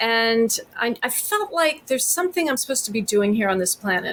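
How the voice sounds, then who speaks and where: Using a normal speaking voice, a woman with an American accent talks at a moderate pace and a fairly high pitch. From Texas. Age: 50s. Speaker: therapist. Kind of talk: podcast interview.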